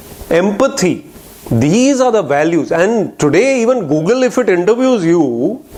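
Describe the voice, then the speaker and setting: A man with a high pitch, very wide pitch swings and an animated tone, speaking at a fairly slow pace with very even loudness over noticeable background noise. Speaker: motivational speaker. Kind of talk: inspirational talk. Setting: lecture hall with audience.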